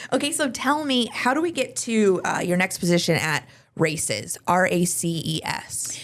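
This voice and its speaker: A woman speaks in a Midwestern American accent at a medium pitch, her voice making very wide pitch swings. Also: moderate pace. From Champaign, Illinois. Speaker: podcast host. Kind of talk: casual podcast interview.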